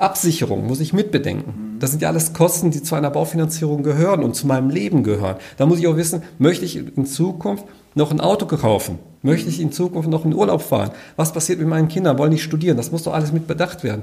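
A man speaks at a very fast pace with lively intonation. There is vocal fry in his voice. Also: fairly high pitch for a man. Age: 50s. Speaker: financial adviser. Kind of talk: interview.

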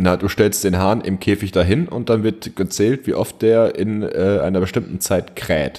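Speaking in a northern German accent, a man uses a dark, mellow tone at a fairly low pitch with ordinary variation, moving at a fairly slow pace with hardly any pauses. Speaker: podcast co-host. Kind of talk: casual chat. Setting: remote call. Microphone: echo, reverberant room.

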